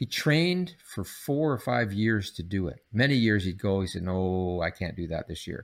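With a Canadian accent and lively intonation, a man speaks at a moderate pace and a fairly low pitch in an unremarkable speaking voice, on a very clean recording with a silent background. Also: hardly any pauses. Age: 60s. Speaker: psychology professor. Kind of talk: interview.

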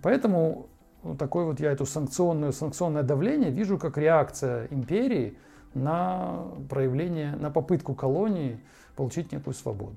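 This man talks at a moderate pace, his fairly high voice moving with lively intonation. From Ukraine. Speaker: podcast host. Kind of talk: monologue commentary. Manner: halting.

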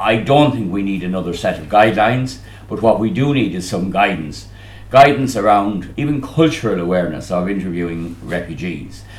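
With an Irish accent, a man talks at a fairly quick pace in a fairly low pitch, his intonation lively and his loudness swinging widely, with audible room echo around him. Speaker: trade union official. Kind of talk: conference speech.

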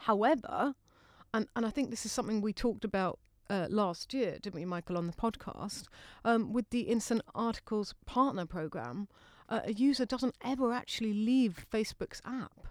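A woman with an ordinary speaking voice talks at a moderate pace, at a fairly high pitch with ordinary pitch variation. The very clean recording has a silent background and a dry, close sound with no echo. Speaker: podcast co-host and interviewer. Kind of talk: casual chat.

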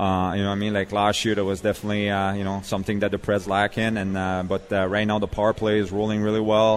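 A man with a Quebec accent, fairly low in pitch, very fast and monotone, with hardly any pauses. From Quebec, Montreal. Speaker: former ice hockey player and youth coach. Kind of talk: casual interview. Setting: live show at a restaurant with audience. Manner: many fillers.

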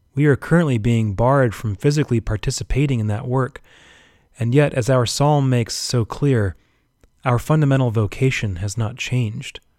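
A man talks at a moderate pace in a plain, everyday voice. His medium pitch shows ordinary variation, and the sound is dry and close with no echo. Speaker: Anglican priest. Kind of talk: homily. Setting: church service during pandemic. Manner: earnest, exhortative, formal.

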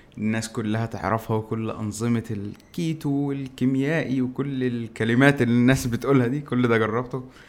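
Here is a man with an ordinary speaking voice at a medium pitch. He goes at a moderate pace. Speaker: tech YouTuber. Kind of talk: casual chat.

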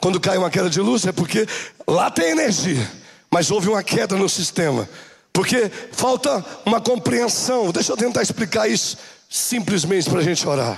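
Noticeable background noise sits behind a man with a high pitch and lively intonation. He keeps a moderate pace and very even loudness. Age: 40s. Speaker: bishop. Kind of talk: sermon. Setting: church. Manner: animated.

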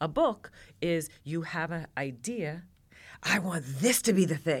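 With an ordinary speaking voice, a woman talks at a fairly low pitch with lively intonation on a very clean recording with a silent background. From New York. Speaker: cookbook author and TV cooking presenter. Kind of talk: casual chat.

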